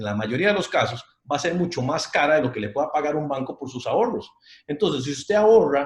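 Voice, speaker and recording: A man with a fairly high pitch, very fast delivery, lively intonation, an animated tone and a somewhat breathy quality. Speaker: financial advisor. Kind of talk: online talk with audience Q&A.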